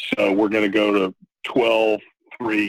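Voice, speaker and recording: A man with an American accent talks at a very slow pace in a fairly low pitch, with a dry, close sound and no echo. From Texas. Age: 60s. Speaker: recovering alcoholic sharing his story. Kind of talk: personal testimony in podcast interview.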